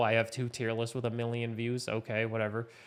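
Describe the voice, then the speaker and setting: A man speaks at a medium pitch with a Canadian accent. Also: very clean recording, silent background. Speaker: podcast host and streamer. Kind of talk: solo podcast monologue. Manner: laid back.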